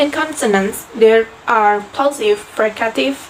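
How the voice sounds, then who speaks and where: With noticeable background noise around her, a woman talks at a fairly high pitch with ordinary pitch variation. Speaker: university student. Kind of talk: class presentation.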